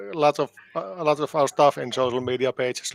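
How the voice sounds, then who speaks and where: Delivered at a moderate pace in a Finnish accent, the speech has a dry, close sound with no echo. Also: man. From Finland. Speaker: band keyboardist and composer. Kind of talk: interview. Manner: halting, many repetitions.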